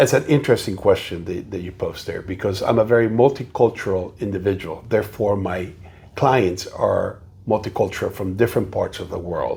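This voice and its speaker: A man speaks with a Spanish accent at a fairly quick pace. His loudness swings widely. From South America. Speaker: realtor. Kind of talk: interview.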